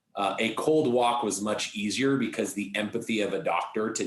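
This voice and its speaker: Male speech of ordinary pitch variation, noticeable noise in the background. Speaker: sales executive. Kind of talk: podcast interview.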